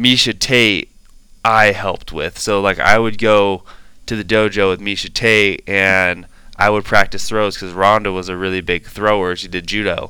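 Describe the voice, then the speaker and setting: A bright, sharp voice with an American accent, moderate pace and monotone, flat intonation, on a very clean recording with a silent background. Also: man, fairly low pitch for a man. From Washington State, US Pacific Northwest. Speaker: college football player. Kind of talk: casual interview.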